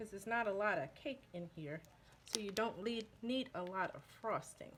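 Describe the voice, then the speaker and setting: At a fairly slow pace, a woman talks at medium pitch with ordinary pitch variation. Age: 50s. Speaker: baking video creator and author. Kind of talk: tutorial. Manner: casual, conversational.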